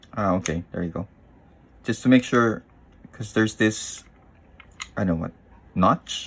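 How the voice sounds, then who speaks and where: Speaking with a non-native accent, a man uses a fairly low pitch with ordinary variation at a fairly slow pace. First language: not English. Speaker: tech YouTuber. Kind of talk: unscripted unboxing tutorial. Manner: halting, hesitant.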